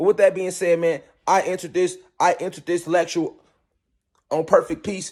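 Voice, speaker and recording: A man's high pitch and animated tone at a fairly quick pace, in a very clean recording with a silent background. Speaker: spiritual teacher. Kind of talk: lecture. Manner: fast.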